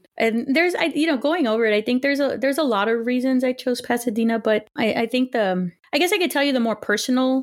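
A woman talks at a very fast pace with a Spanish accent and ordinary pitch variation. The recording is very clean, with a silent background. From Los Angeles area, California. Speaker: historian, professor. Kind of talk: interview.

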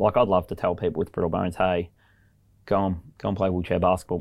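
In a very clean recording against a silent background, a man talks with a very deep, low pitch. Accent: Australian. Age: 30s. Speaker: English teacher. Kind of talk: interview.

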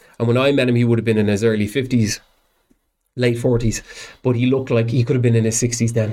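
A man of medium pitch at a very fast pace, dark and mellow in tone, with monotone, flat intonation, very even loudness, and long, frequent pauses. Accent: Dublin. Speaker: professional musician. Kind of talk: casual chat.

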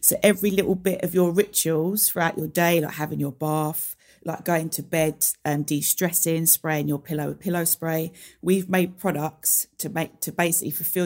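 In a very clean recording with a silent background, a woman with a strong London accent speaks in a relaxed tone at a moderate pace, her fairly low voice monotone and flat. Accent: London accent, strong, drops T's. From London, England. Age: 30s. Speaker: beauty brand founder. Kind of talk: casual interview chat. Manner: relaxed, informal, laughs often.

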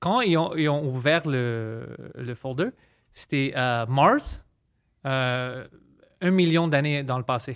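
A man at a fairly high pitch, very slow pace and ordinary pitch variation, with long, frequent pauses, in a very clean recording with a silent background. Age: 30s. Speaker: comedian. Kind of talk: casual chat.

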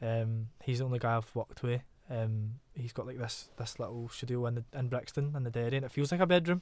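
A man with a Glaswegian accent talks at a fairly quick pace with hardly any pauses, his medium pitch showing ordinary variation. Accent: Glaswegian Scottish. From Glasgow, Scotland. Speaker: singer-songwriter. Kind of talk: casual interview chat. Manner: casual, laughs a lot.

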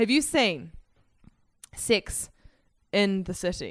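A woman with a New Zealand accent speaks with lively intonation and vocal fry. The recording is very clean, with a silent background. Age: 20s. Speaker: comedian. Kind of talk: casual chat.

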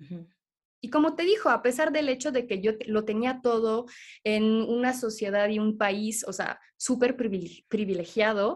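Her voice fairly high, a woman speaks in an animated tone with ordinary pitch variation. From Switzerland. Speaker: holistic therapist. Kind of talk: interview.

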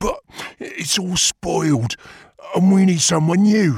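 A growling put-on character voice speaks at a middle pitch. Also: fairly slow pace. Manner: growled.

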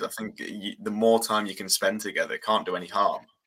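A man with an East Midlands accent talks at a fairly quick pace. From England, Lincoln. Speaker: student journalist and football commentator. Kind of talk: casual chat.

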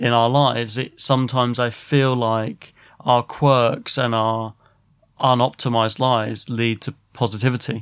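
In an English accent, a man speaks fairly slowly at a medium pitch in a flat monotone, on a very clean recording with a silent background. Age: 30s. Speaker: podcast host. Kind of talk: casual chat.

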